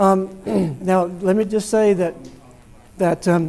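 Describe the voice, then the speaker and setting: Loud and monotone, a high-pitched man speaks at a fairly slow pace with flat intonation. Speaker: guest presenter, amateur radio operator. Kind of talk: presentation to club. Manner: trying to talk loud.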